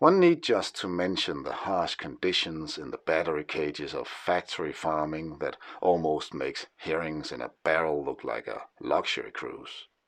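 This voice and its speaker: Hardly pausing at all, a man with a Danish accent speaks with big swings in loudness. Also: moderate pace. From Denmark. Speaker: historian and writer. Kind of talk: scripted narration. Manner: formal.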